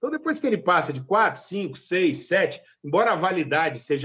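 A high-pitched man's voice in a Minas Gerais accent, with very wide pitch swings. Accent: Mineiro. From Minas Gerais, Zona da Mata (Brazil). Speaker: master cheesemaker. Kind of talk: interview.

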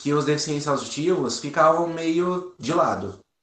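A man's fairly high voice with audible room echo. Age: 20s. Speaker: firefighter and volunteer. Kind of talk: interview.

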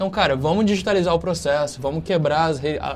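Music plays behind a man talking at a very fast pace. His pitch is fairly high and his intonation fairly even. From Brazil, Rio de Janeiro state (Volta Redonda). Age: 20s. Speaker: startup CEO. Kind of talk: casual interview. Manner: casual, filler-heavy.

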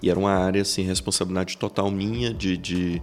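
The man's pitch is very deep and low. He talks at a fairly quick pace. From Brazil, Goiás (Iporá). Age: 30s. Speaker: business executive. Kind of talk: podcast interview.

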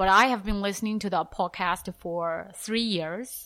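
A woman with a Chinese accent speaks at a moderate pace with ordinary pitch variation. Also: very clean recording, silent background. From China. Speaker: podcast host, English teacher. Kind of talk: casual interview conversation. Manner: halting, repeats words.

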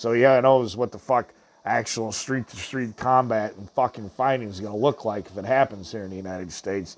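At a fairly quick pace, a man speaks in a normal speaking voice at medium pitch. His loudness swings widely. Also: ordinary pitch variation. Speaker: podcast host. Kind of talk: angry rant; casual show hosting, music intros. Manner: loud, furious, swearing.

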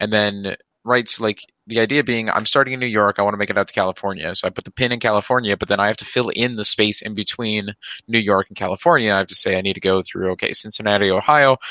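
Speaking at a very fast pace, a man with a fairly low pitch keeps his intonation fairly even. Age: 20s. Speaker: podcast guest. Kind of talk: casual chat.

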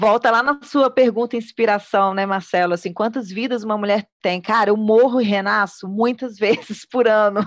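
This woman's fairly high voice shows ordinary pitch variation over a quiet background. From Minas Gerais, Brazil (Belo Horizonte). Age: 40s. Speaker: choreographer and singer-songwriter. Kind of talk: casual chat.

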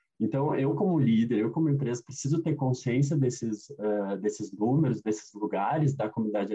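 A man's somewhat breathy voice has a dark, mellow tone at a medium pitch. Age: 30s. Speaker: diversity consultant. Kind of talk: interview. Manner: hesitant, many fillers.

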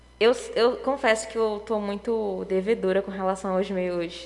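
Noticeable background noise sits behind a woman speaking at medium pitch. She keeps a moderate pace and fairly even intonation. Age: 20s. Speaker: biomedicine student and Sunday school teacher. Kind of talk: casual chat.

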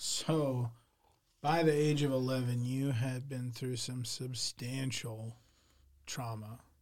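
A man's somewhat breathy voice at medium pitch, at a very slow pace. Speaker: podcast host and case manager. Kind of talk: casual interview.

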